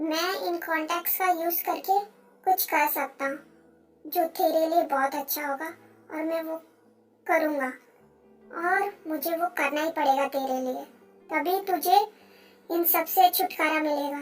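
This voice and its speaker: Faint music plays in the background as someone delivers a put-on character voice at a fairly slow pace, with long, frequent pauses. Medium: fan dub. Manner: warm, earnest.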